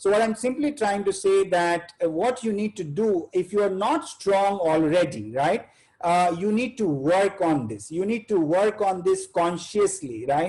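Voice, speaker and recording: A man with an Indian accent talks at a fairly slow pace with hardly any pauses, using a high pitch and lively intonation. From India, Bihar. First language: Hindi. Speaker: chartered accountant, webinar speaker. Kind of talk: webinar talk. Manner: halting, many fillers.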